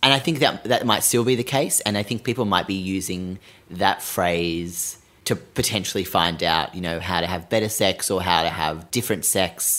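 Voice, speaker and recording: Very deep, low male voice in an Australian accent, bright and sharp in tone, at a moderate pace with ordinary pitch variation. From Sydney, Australia. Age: 20s. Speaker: podcast host. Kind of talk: casual chat.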